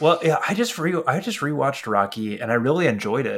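With an unremarkable speaking voice, a man talks at a moderate pace on a very clean recording with a silent background. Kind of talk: casual chat.

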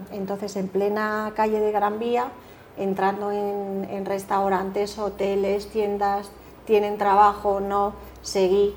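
Her medium-pitched voice stays monotone and flat as the woman speaks at a very slow pace. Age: 50s. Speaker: leadership coach. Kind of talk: interview.

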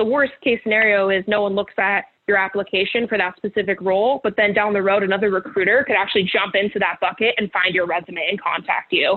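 A woman's medium-pitched voice with an American accent, very fast pace, very even loudness and fairly even intonation, amid noticeable background noise. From California, Bay Area. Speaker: recruiter and project manager. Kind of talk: interview.

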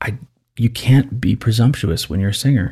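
A man talks with lively intonation. There is a somewhat breathy quality to his voice. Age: 30s. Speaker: voice teacher and opera singer. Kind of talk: casual chat. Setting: studio.

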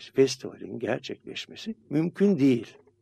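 A man speaks very slowly in a dark, mellow, somewhat breathy tone. The sound is dry and close, with no echo. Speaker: radio host and psychiatrist. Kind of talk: casual chat.

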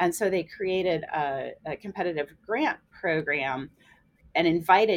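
With an American accent, a woman speaks in a plain, everyday voice at a fairly low pitch with ordinary pitch variation. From US Midwest, central Illinois. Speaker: biology professor. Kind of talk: casual interview.

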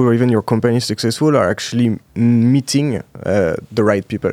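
With a French accent, a man speaks with ordinary pitch variation in a dry, close sound with no echo. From France, Alsace. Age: 20s. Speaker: startup founder. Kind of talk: interview. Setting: studio.

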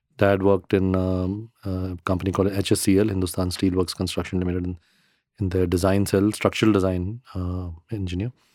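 A man with a very deep, low voice and a dark, mellow tone speaks fairly quickly in a flat monotone. The recording is very clean, with a silent background. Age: 50s. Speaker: real estate company founder and architect. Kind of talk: interview.

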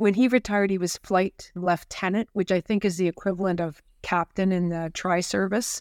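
An ordinary speaking voice from a woman with a Canadian accent, medium pitch, fairly even intonation and hardly any pauses, dry and close with no echo on a very clean recording with a silent background. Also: moderate pace. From Ottawa, Canada. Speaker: president and CEO of a bioscience nonprofit. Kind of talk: interview.

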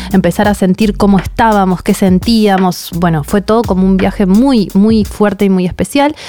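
At a moderate pace, a woman speaks at a medium pitch with ordinary pitch variation. Noticeable background noise sits behind her. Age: 30s. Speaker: podcast host and author. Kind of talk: podcast interview and storytelling.

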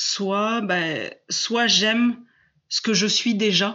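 The speaker is a woman with a medium pitch. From southwest France. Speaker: coach on fear, former biology teacher. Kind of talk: interview. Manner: hesitant, many fillers.

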